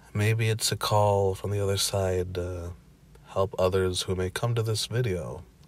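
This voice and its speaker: The voice is somewhat breathy with fairly even intonation. It moves at a fairly slow pace. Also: man, fairly low pitch for a man. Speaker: spiritual channel host. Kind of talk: casual talk to camera.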